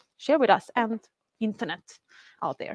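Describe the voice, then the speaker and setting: With a Swedish accent, a woman speaks at a very fast pace in a high pitch with ordinary pitch variation, the sound dry with no echo over a quiet background. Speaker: community organizer and event host. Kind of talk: event hosting. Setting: stage with live audience, livestreamed. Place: office. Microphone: lapel.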